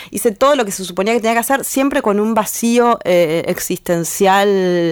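A woman talks at a fairly slow pace in a fairly high voice. Her pitch variation is ordinary. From Argentina, northern Buenos Aires province. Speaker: feminist artist and blogger. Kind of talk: interview. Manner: halting, many fillers.

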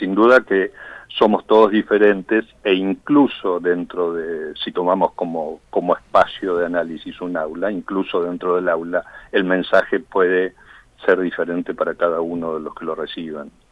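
The speaker moves at a fairly slow pace, keeping the intonation fairly even. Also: man, very deep, low pitch for a man. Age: 50s. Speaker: tech education entrepreneur. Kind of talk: radio interview.

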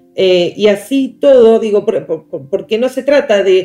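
A woman speaks in an Argentine accent. Music plays in the background. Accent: Rioplatense Argentine Spanish. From Argentina, La Plata. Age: 30s. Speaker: teacher and education specialist. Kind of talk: interview. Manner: hesitant, with many fillers.

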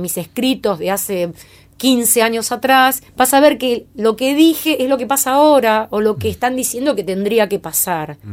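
In a Rioplatense accent, a woman speaks at a moderate pace with lively intonation. The recording is very clean, with a silent background. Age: 50s. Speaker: creativity coach. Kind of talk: interview. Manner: halting.

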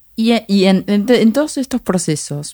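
A woman is talking. The tone of her voice is dark and mellow. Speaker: podcast host. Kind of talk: casual interview.

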